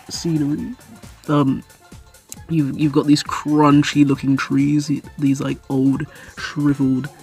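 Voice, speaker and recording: Music plays in the background. A woman speaks at a very deep, low pitch and a very slow pace. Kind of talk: casual commentary to camera. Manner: rambling, hesitant with many fillers.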